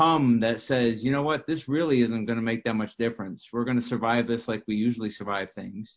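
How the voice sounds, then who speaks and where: A man speaks in a normal speaking voice at a medium pitch. His pitch varies in an ordinary way. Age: 50s. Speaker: prophetic minister. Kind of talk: casual discussion.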